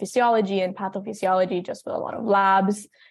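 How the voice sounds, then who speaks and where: A woman speaks at a very fast pace in a Spanish accent. Her medium pitch stays in a monotone, flat intonation. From Texas, Brownsville / Mexico. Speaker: college student. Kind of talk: interview.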